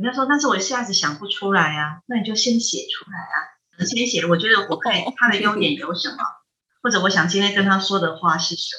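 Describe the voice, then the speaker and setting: Her voice is an unremarkable speaking voice at a medium pitch. The woman talks at a fairly quick pace with ordinary pitch variation. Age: 50s. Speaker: Buddhist monastic, head of a Buddhist research institute. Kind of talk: casual chat with dharma teaching. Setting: remote call.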